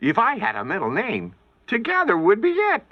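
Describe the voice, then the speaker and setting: A cartoonish character voice speaks at a moderate pace. It sits at a fairly high pitch. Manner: playful, giggly, jokey.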